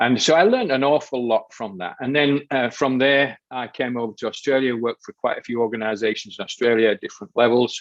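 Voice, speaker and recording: Speaking very fast with hardly any pauses, a man at medium pitch talks in a Yorkshire accent. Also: ordinary pitch variation. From Yorkshire, northern England. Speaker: behavioral coach. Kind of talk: podcast interview.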